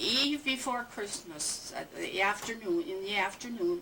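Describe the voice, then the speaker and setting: Noticeable background noise surrounds a woman whose high-pitched voice moves in very wide pitch swings. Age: 80s+. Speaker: family elder interviewed about her life. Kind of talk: oral history interview. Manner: halting, with many fillers.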